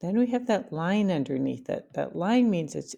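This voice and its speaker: With a fairly low pitch, a dark, mellow tone and vocal fry, a woman speaks with lively intonation. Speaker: math teacher. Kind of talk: lecture.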